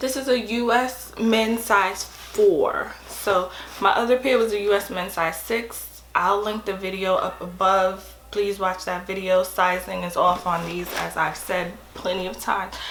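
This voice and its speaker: The woman talks at a fairly slow pace and medium pitch, with fairly even intonation and hardly any pauses. Audible room echo and noticeable background noise surround her. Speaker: sneaker unboxing vlogger. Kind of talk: casual unboxing vlog. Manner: casual, chatty.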